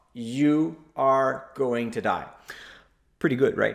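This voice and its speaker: A man speaks with a French Canadian accent at a medium pitch with ordinary pitch variation. Audible room echo surrounds his voice. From Quebec. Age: 40s. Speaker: investor and blogger, conference speaker. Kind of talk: presentation. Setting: virtual conference.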